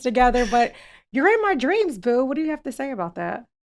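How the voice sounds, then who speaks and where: With music in the background, a woman speaks at a high pitch using lively intonation. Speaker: podcast host. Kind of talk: podcast intro banter.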